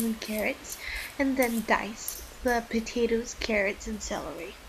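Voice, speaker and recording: Noticeable background noise sits behind a woman with a fairly high pitch who talks at a moderate pace. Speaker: home cook vlogger. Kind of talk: cooking demonstration to camera.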